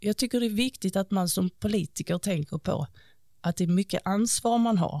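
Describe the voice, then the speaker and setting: Somewhat breathy and dark, mellow in tone, a woman speaks at medium pitch and a moderate pace, with ordinary pitch variation and very even loudness, in a dry, close sound with no echo on a very clean recording with a silent background. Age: 40s. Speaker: local politician. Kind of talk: interview.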